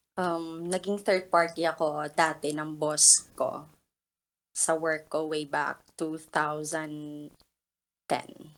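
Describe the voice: Her pitch is low, with little movement. The woman speaks at a slow pace.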